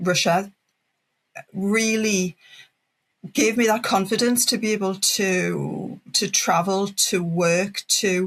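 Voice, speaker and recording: The speaker has a northeast English accent. The recording is very clean, with a silent background. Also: woman. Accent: northeast English (Geordie), noticeable. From northeast England, Wallsend (Tyneside). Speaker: language teacher and business founder. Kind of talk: podcast interview.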